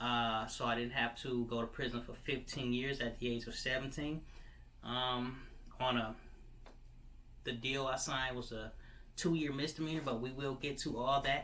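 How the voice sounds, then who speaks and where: A man speaks at medium pitch in a bright, sharp tone with monotone, flat intonation, and audible room echo surrounds him. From Michigan. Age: 30s. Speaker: vlogger. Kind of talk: personal testimony. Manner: halting, many fillers.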